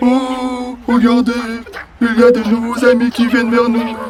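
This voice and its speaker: Using a put-on character voice, a man talks at an extremely high pitch in a monotone, flat delivery at a moderate pace. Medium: audio drama. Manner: placid, sweet.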